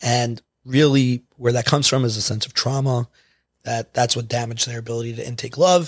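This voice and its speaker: On a very clean recording with a silent background, a man with a medium pitch and a somewhat breathy voice speaks at a fairly quick pace with fairly even intonation. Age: 30s. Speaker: addiction program coordinator. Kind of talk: casual chat.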